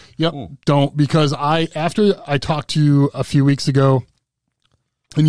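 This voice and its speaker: Fairly even intonation marks this man's speech. The background is quiet and the sound is dry with no echo. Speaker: podcast host. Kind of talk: casual podcast conversation. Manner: casual, conversational. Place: studio. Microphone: studio mic.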